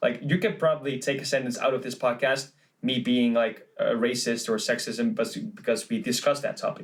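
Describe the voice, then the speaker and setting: A man's medium-pitched voice with lively intonation and a Dutch accent. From Netherlands. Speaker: podcast co-host, musician. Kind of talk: casual chat.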